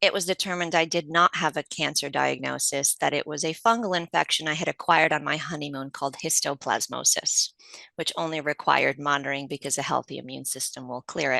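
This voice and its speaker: A woman's very deep, low voice, bright and sharp in tone, at a very fast pace with hardly any pauses and fairly even intonation, dry and close with no echo, over a quiet background. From Poland, immigrated to US as a child. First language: Polish. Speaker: patient advocate. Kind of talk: interview.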